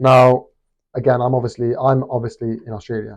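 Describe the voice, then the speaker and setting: A man with a British accent talks at a fairly quick pace in a monotone, flat intonation. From Britain. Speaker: boxing commentator youtuber. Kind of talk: casual opinion vlog. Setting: hostel room. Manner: halting, many fillers.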